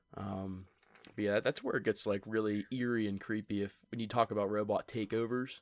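With an American accent, a man speaks at a fairly quick pace in a fairly low, monotone, flat voice, recorded dry and close with no echo. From central Pennsylvania. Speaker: podcast co-host. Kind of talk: casual chat.

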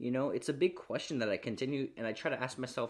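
A man talks at a very fast pace with medium pitch and lively intonation. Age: 20s. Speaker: podcaster. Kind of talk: motivational monologue.

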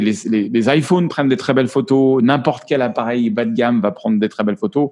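The man talks at a fairly quick pace. His pitch swings very widely. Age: 50s. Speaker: photographer. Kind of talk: interview. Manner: halting.

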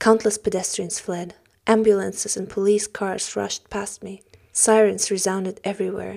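A woman at a medium pitch speaks at a moderate pace in a flat monotone, her dark, mellow voice swinging widely in loudness. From Germany, Russian-German background. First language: German or Russian. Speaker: novelist and actress. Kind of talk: reading aloud then interview conversation. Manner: hesitant, self-conscious.

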